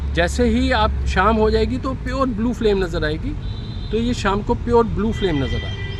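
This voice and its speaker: A man amid audible room echo and noticeable background noise. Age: 60s. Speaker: retired resident demonstrating sewer gas use. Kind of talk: interview explanation.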